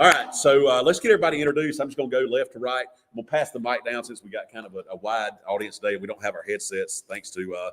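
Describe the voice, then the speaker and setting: A man with a Southern US accent, very fast and with hardly any pauses, his loudness swinging widely. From US South, Georgia. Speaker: radio auction host. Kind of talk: live radio broadcast chat. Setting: studio with live radio and Facebook feed.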